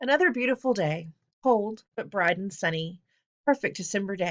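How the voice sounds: Over a quiet background, a natural reading voice moves with lively intonation.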